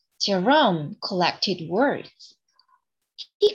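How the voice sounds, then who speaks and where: With lively intonation, a woman talks at a very slow pace. Her pitch sits in the medium range. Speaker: English picture book storyteller and educator. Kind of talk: reading a picture book aloud with commentary.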